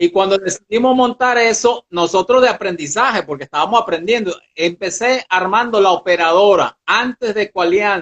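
A man's high-pitched voice at a moderate pace, with ordinary pitch variation and hardly any pauses. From Curaçao, Madeira (Portugal) and Venezuela. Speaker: ecotourism nature guide. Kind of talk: casual interview. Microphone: poor connection.

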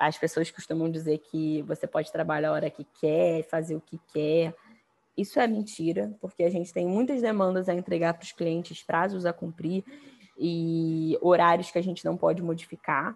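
With an unremarkable speaking voice, a woman talks at a moderate pace in a fairly low pitch, showing ordinary pitch variation and big swings in loudness. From Brazil. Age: 20s. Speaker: business founder. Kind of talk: interview.

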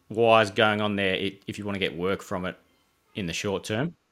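A man mumbles in an Australian accent with a fairly low pitch. His pace is moderate. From Geelong, Victoria, Australia. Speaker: landscape designer and business owner. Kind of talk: casual interview chat. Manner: mumbling, relaxed.

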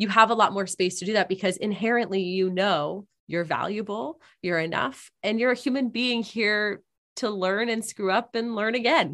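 Against a quiet background, a woman talks at a moderate pace. Her pitch is medium, with ordinary variation. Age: 20s. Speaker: author, podcaster and speaker. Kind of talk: casual interview chat.

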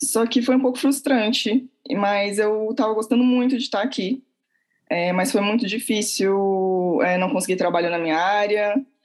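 Speaking at a moderate pace, a woman with an ordinary speaking voice has a medium pitch and lively intonation. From Santos, São Paulo coast, Brazil. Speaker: cultural venue co-founder. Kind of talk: interview.

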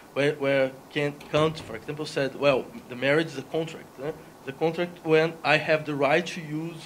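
A man's fairly high, monotone, flat voice in a Portuguese accent, over noticeable background noise. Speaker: philosophy professor. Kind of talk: debate. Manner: slow; halting.

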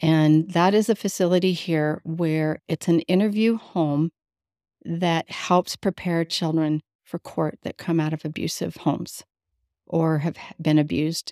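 In a very clean, dry, close recording with a silent background and no echo, a woman with an American accent speaks at a fairly slow pace in a fairly low, dark, mellow voice with fairly even intonation. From Las Vegas, Nevada. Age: 60s. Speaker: foster care survivor and youth advocate. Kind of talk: interview storytelling. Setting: in person with host.

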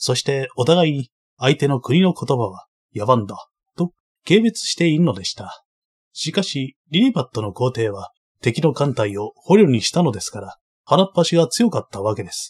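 A somewhat breathy man at a moderate pace, with very wide pitch swings, big swings in loudness, and a dry, close sound with no echo. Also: fairly high pitch for a man. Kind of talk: audiobook reading of a translated novel, first-person narration. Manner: even, measured, formal storytelling pace.

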